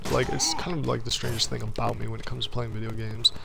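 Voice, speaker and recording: A man's speech carries audible room echo. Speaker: gaming streamer. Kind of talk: casual gameplay commentary. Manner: fast; stumbles over words.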